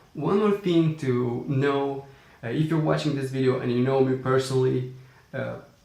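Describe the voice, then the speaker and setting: At a moderate pace and medium pitch, a man speaks with ordinary pitch variation over noticeable background noise. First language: not English. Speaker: entrepreneur vlogger. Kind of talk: casual vlog talk. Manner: hesitant with fillers.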